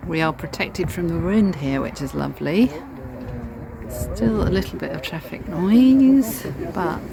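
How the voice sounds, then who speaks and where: A woman talks rather unhurriedly. Clear background noise can be heard throughout. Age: 60s. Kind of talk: casual talk to camera.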